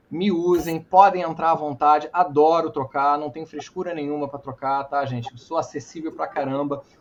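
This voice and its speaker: Over noticeable background noise, a man with a fairly high pitch speaks with hardly any pauses and big swings in loudness. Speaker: entrepreneur and speaker. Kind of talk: talk with Q&A. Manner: fast; animated.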